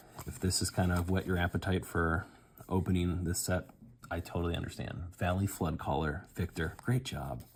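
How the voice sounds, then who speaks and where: A man's very deep, low, somewhat breathy voice with ordinary pitch variation. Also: moderate pace. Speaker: unboxing video host. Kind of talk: casual pack-opening commentary. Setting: at home, child napping nearby. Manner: keeping voice down, quieter than usual.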